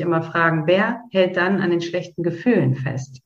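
Her pitch fairly low and varying in an ordinary way, a woman talks in an unremarkable speaking voice. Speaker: podcast host guiding a meditation. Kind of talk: guided meditation. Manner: slow, calm, soothing, with long pauses; gentle, directive, intimate.

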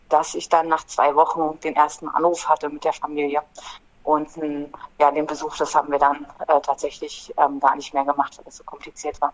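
A woman with a very deep, low pitch at a moderate pace, with big swings in loudness. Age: 40s. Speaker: climate activist, former prisoner. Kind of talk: interview.

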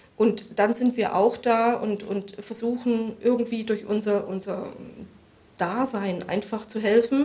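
Very slowly, a woman with a fairly high pitch speaks with fairly even intonation. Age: 50s. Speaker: hospice association chairwoman. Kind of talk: interview. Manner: halting, many fillers.

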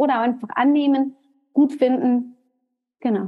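A woman is speaking. Her pitch is high. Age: 30s. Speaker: hairdresser and salon trainer. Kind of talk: casual chat. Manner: animated.

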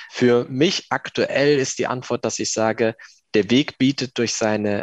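A man's voice with ordinary pitch variation, in a dry, close sound with no echo. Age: 20s. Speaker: civil servant, lay community member. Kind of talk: interview testimony.

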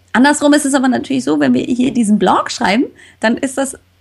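A woman speaks in an animated tone, her voice somewhat breathy. Her intonation is lively. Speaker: health podcaster. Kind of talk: casual interview.

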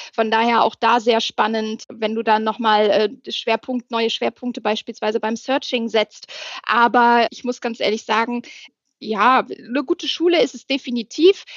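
A woman speaks at a moderate pace with a fairly high pitch and ordinary pitch variation. Her loudness swings widely over a quiet background. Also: dry, close sound with no echo. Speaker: HR manager. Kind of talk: casual interview.

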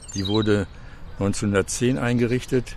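Over noticeable background noise, a man talks at a very slow pace with ordinary pitch variation. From Gelsenkirchen, Ruhr area. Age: 70s. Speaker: retired civil engineer, local historian. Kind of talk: interview.

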